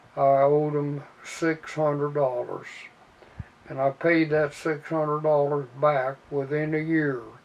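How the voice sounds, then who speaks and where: A man with a Midwestern American accent talks at a fairly high pitch and a fairly slow pace. His intonation is monotone and flat, with noticeable background noise. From Indiana. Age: 80s+. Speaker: army veteran. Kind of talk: interview answer. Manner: hesitant, with fillers.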